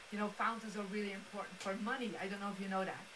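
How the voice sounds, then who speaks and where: Noticeable background noise and audible room echo surround a woman speaking with a Belgian accent. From Belgium. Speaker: feng shui master and speaker. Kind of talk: motivational presentation. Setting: live-streamed studio event with audience. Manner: animated.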